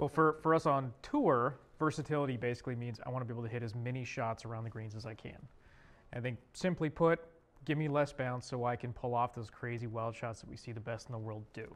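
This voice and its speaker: Speaking at a very fast pace, a man shows ordinary pitch variation. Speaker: golf tour equipment rep. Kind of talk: interview. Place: meeting room.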